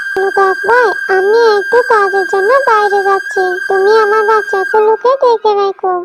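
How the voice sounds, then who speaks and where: In a cartoonish character voice, a woman speaks at an extremely high pitch and a fairly slow pace. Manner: gentle, caring.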